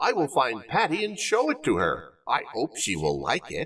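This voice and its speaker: The voice is a put-on character voice. Its pace is moderate. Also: man. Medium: read story.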